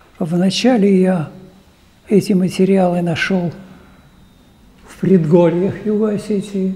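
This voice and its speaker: Over noticeable background noise, a high-pitched man speaks very slowly with long, frequent pauses. His intonation is monotone and flat. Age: 80s+. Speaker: archaeologist. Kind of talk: public talk, reminiscing.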